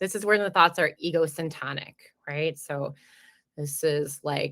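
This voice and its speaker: With a New Jersey accent, a woman speaks in a very deep, low pitch and a bright, sharp tone, keeping her intonation fairly even. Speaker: perinatal mental health clinic director. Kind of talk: educational webinar talk. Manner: fast.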